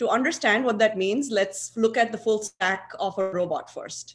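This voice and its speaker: The woman speaks at a moderate pace. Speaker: aerospace engineer and researcher; conference presenter. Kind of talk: conference presentation. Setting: video call. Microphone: video call.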